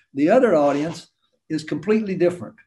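A man talks with lively intonation and a North Carolina accent. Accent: Southern US, North Carolina. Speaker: storyteller, author and financial analyst. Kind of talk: interview answer. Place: home room. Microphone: webcam.

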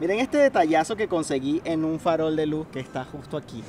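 With noticeable background noise, a man with a high voice speaks at a moderate pace. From Venezuela. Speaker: travel vlogger. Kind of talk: vlog narration. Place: street. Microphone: phone near.

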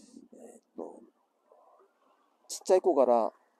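A man speaks at a moderate pace in an Iwate accent, his tone dark and mellow. The sound is dry and close, with no echo. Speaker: survivor of the 2011 earthquake and tsunami. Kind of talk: casual talk to camera.

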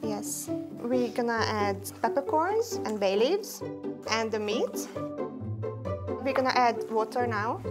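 A woman at a fairly slow pace, clear music in the background. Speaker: guest. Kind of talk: tutorial. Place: kitchen.

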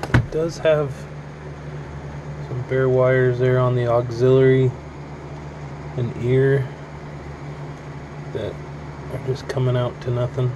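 Long pauses come often, and the delivery is very slow. There is noticeable background noise. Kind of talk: casual product demo.

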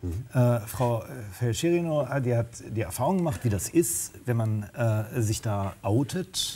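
A man's somewhat breathy voice at a very slow pace. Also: lively intonation. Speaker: social worker and drug counselor. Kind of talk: panel discussion. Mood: earnest, engaged. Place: studio. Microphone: lapel.

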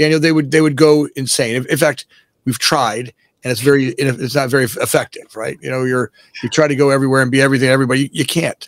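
Against a quiet background with a dry, echo-free sound, a man with an American accent talks at a very fast pace with fairly even intonation. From South Florida. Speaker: real estate developer; podcast guest. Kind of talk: casual interview; interview answer. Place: office.

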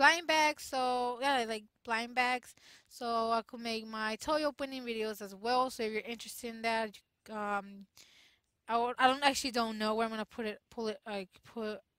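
A woman's bright, sharp voice with fairly even intonation, dry and echo-free, against a quiet background. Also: moderate pace. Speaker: gamer vlogger. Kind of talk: casual gaming commentary. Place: home room. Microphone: headset.

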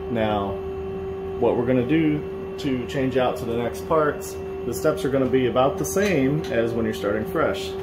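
Loud background noise fills the recording. A man speaks over it at a moderate pace. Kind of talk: tutorial. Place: workshop.

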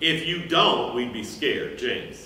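A man talks at a very slow pace. Audible room echo and light background noise surround his voice. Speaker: teacher. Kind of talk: lecture. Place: stage. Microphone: camera far.

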